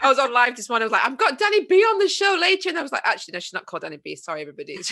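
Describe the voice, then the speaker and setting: Her raised, projected voice runs at a very fast pace, bright and sharp in tone, high-pitched for a woman, with very wide pitch swings and big swings in loudness. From northern England, Yorkshire. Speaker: podcast host. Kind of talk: casual chat.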